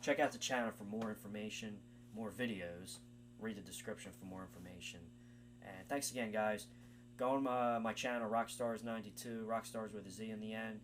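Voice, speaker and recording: Loudness swings widely as a man talks at a fairly quick pace in a fairly low pitch. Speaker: music channel uploader. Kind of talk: video commentary. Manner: fast; hesitant, many fillers.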